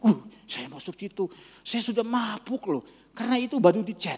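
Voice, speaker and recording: The tone is animated and the pace is moderate. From Malaysia. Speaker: pastor. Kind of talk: sermon. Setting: church.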